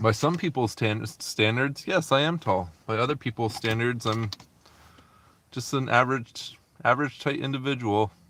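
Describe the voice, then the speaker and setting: In a very clean recording with a silent background, a man with a plain, everyday voice speaks at a medium pitch and moderate pace with ordinary pitch variation. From Canada. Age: 30s. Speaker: delivery driver live streamer. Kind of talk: casual live stream chat while driving. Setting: in a car. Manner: casual, chatty.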